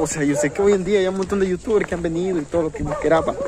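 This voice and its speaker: There is noticeable background noise behind a man's voice, which has a dry sound with no echo. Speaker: vlogger. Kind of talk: casual vlog chat. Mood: relaxed, cheerful. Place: street. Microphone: phone near.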